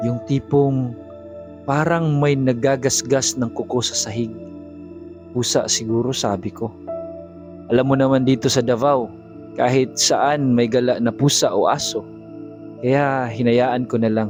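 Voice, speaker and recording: Speech unfolds at a fairly slow pace with long, frequent pauses. The intonation stays fairly even, and music plays in the background. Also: man, medium pitch for a man. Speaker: voice actor. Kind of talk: horror confession narration. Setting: home studio.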